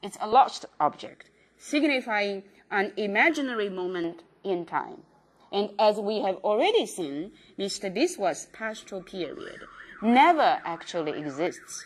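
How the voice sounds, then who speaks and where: A woman speaks with a non-native accent at medium pitch. Her pace is fairly slow, with very wide pitch swings. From China. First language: Chinese. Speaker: professor. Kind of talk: lecture. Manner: halting, many fillers.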